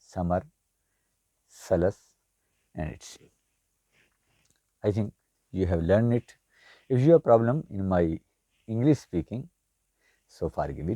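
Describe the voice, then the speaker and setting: In a dry, close recording with no echo, a man with a Pakistani accent speaks at a fairly slow pace in a fairly low pitch and dark, mellow tone, with very wide pitch swings, big swings in loudness and long, frequent pauses. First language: Urdu. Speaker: language teacher. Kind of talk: tutorial.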